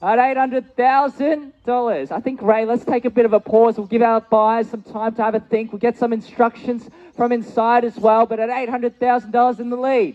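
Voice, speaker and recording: In an Australian accent, the speaker talks at a fairly quick pace with hardly any pauses and monotone, flat intonation, in a dry, close sound with no echo. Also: man, extremely high pitch for a man. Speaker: auctioneer. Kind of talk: live auction calling.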